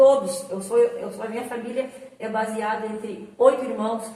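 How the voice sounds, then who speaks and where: Over noticeable background noise and audible room echo, a woman speaks at a fairly slow pace with fairly even intonation. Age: 60s. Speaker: church member, flood survivor. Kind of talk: testimony.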